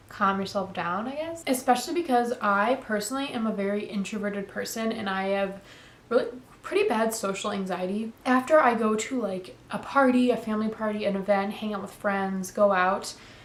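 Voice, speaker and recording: Audible room echo and noticeable background noise fill this clip of a woman. Her fairly high voice moves at a fairly quick pace with ordinary pitch variation. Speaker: lifestyle vlogger. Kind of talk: casual sit-down talk to camera. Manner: casual, filler-heavy.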